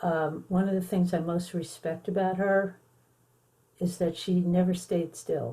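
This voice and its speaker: A woman's fairly low, somewhat breathy voice with a dark, mellow tone, an American accent, monotone flat intonation and a fairly slow pace. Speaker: songwriter and schoolteacher. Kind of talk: interview.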